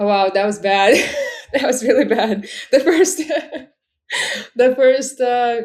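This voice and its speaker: This is a woman with a Russian accent. She talks at a fairly slow pace. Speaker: e-commerce seller. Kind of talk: casual interview.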